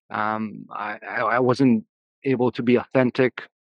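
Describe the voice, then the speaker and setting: Monotone, flat intonation runs through this man's speech. He talks slowly enough to count as a fairly slow pace, at a medium pitch. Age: 30s. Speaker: founder of a men's coaching program. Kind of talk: interview.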